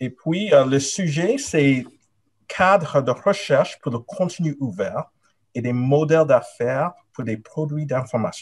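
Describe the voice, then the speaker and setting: At a very slow rate, the somewhat breathy delivery shows ordinary pitch variation. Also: man, fairly high pitch for a man. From Nigeria and Canada. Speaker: professor; candidate. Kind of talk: academic thesis defense presentation. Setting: video call. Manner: hesitant, many fillers. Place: home room. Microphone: webcam.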